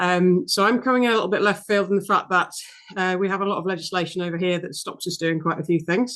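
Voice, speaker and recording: A woman speaks very fast at a medium pitch, her pitch varying in an ordinary way. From UK. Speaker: veterinary apheresis specialist. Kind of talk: casual chat.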